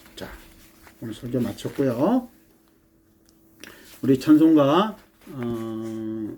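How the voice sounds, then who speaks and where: Words arrive at a very slow rate. The speaker stops often, for long stretches. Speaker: pastor. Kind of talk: sermon. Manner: halting.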